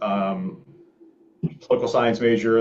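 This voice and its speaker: A man with an American accent speaks in an ordinary speaking voice at medium pitch. His pitch varies in an ordinary way, and his pace is moderate. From Philadelphia suburbs, Pennsylvania. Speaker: startup founder. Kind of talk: conference talk. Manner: casual, many fillers.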